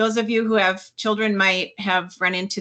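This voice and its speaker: Her pitch is medium. The tone she uses sounds sharp and bright. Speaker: webinar facilitator. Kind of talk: webinar presentation. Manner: slow.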